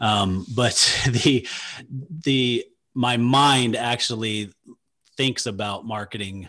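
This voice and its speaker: A man with fairly even intonation against a quiet background. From Utah. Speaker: radio show host, financial advisor; podcast co-host. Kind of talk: interview. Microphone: video call.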